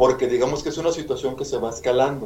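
With audible room echo and noticeable background noise, a man talks at a fairly high pitch with ordinary pitch variation. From Mexico, Monterrey, Nuevo León. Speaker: animal rescuer. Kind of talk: interview.

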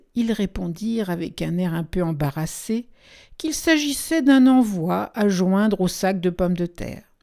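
The intonation is lively while reading aloud in a natural voice.

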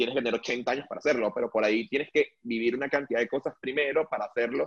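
A man with a normal speaking voice talks at a fairly quick pace. The sound is dry and close, with no echo. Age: 20s. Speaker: wine sales worker. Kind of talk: casual chat.

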